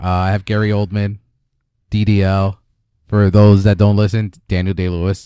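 In a very clean recording with a silent background, a man with a fairly low pitch and a dark, mellow tone speaks in a flat monotone at a moderate pace, leaving long, frequent pauses. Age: 30s. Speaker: podcast host. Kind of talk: casual chat.

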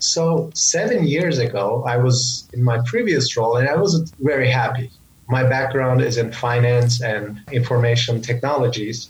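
A man of medium pitch with a Turkish accent, at a moderate pace with very even loudness and ordinary pitch variation. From Turkey. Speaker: leadership coach. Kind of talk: interview. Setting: video call.

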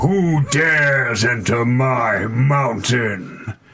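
Loud and at medium pitch, a man puts on a character voice. He delivers it at a very slow pace.

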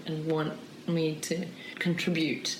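A woman at a fairly low pitch in a flat monotone, with audible room echo and noticeable background noise. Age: 40s. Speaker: documentary filmmaker. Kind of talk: interview.

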